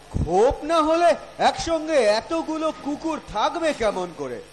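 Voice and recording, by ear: Someone performs a put-on character voice full of big pitch swings. Faint background noise sits underneath. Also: man, extremely high pitch for a man, fairly slow pace.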